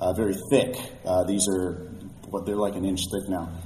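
A man's voice that comes across somewhat breathy. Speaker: collector and historian. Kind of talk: casual chat.

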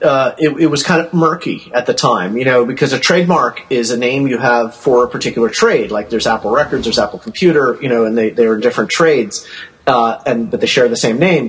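Over noticeable background noise, a man talks fairly quickly, his pitch varying in an ordinary way. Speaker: collector, archive founder. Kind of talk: casual chat. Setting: phone call.

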